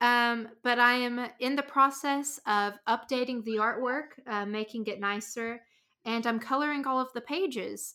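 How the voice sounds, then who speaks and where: A woman speaks at a fairly slow pace in a high, bright, sharp voice with fairly even intonation. The recording is very clean, with a silent background. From rural US, small town. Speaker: comic artist and podcaster. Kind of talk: casual chat.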